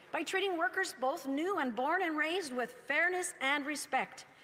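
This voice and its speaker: With a Canadian accent, a woman talks at a fairly quick pace in a high voice with very wide pitch swings, over noticeable background noise. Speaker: member of parliament. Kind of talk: parliamentary speech. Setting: legislative chamber. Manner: formal.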